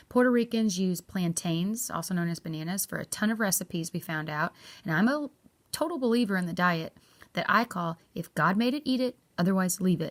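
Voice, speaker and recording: In a very clean recording with a silent background, a woman with an American accent speaks at a medium pitch and a fairly quick pace. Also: lively intonation. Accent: redneck. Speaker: travel vlogger. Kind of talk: travel review vlog.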